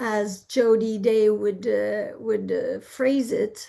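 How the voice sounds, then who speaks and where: At a very slow pace, a woman with a Quebec accent speaks in a dark, mellow tone at a fairly high pitch, keeping her intonation fairly even. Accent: Quebecois French. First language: French. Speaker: therapist. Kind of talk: interview. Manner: halting.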